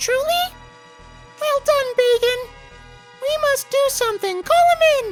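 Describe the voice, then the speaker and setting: Over background music, a squeaky put-on character voice moves at a fairly slow pace with long, frequent pauses. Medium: game stream. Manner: commanding, imperious.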